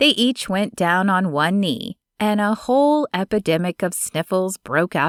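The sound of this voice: Someone reads in an unforced voice while the background stays quiet.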